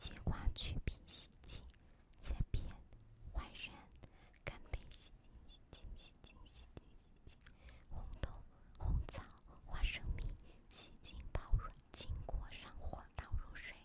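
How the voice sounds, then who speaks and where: A woman whispers at a fairly slow pace, with long pauses coming often. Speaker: ASMR creator. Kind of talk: ASMR recipe reading. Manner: whispered. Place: home room. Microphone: studio mic.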